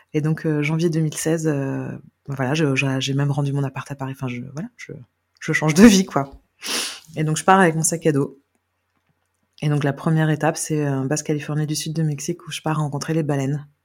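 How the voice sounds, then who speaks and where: Speaking at a moderate pace, a woman with a very deep, low pitch leaves long, frequent pauses. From Brittany, France (Carnac). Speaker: adoptee sharing her story. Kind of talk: guided meditation; testimony. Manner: hesitant, many fillers.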